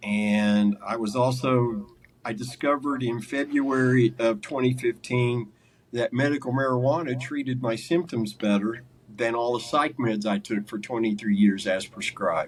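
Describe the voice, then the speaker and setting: Using an ordinary speaking voice, a man talks at a medium pitch and moderate pace. His intonation is fairly even. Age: 60s. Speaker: carnivore diet coach and former mental illness sufferer. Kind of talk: interview testimony. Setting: sit-down interview.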